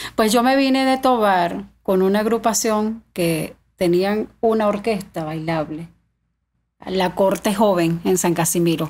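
A woman talks at a fairly slow pace with ordinary pitch variation. Her loudness stays very even. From Venezuelan Andes, Mérida state (Tovar); Mérida state, Venezuela. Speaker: singer of llanera music; podcast guest. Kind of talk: casual interview. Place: studio. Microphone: studio mic.

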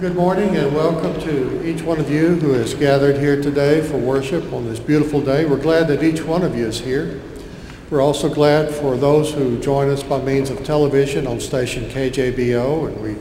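A man talks at a moderate pace with fairly even intonation. Light background noise and audible room echo are present. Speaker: associate minister. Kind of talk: church announcements. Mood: warm, welcoming. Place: church. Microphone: podium.

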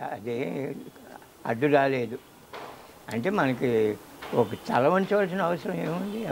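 A man speaks with very wide pitch swings. Light background noise can be heard. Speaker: retired headmaster. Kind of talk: interview answer. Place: garden. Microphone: lapel.

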